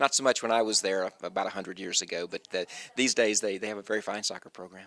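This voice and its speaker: This man's voice has a bright, sharp tone. His pitch is fairly low and his intonation fairly even. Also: dry, close sound with no echo. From US South, North Carolina. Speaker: university administrator. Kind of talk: interview.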